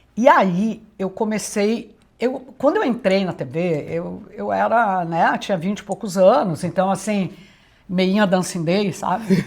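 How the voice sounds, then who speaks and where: Vocal fry runs through a woman's fairly slow speech, her pitch moving in an ordinary way. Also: medium pitch for a woman. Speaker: retired TV executive and journalism teacher. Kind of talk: interview. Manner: loud.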